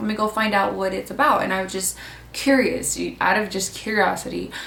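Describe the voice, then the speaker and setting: A woman with a Californian accent at a moderate pace, amid audible room echo and noticeable background noise. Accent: Californian American English. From California, Mexican American. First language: Spanish. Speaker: vlogger, student. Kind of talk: casual vlog talk.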